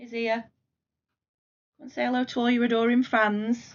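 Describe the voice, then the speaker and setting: In a British accent, a woman speaks at a fairly quick pace. Her pitch is fairly high. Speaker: crafting vlogger. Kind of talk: casual chat.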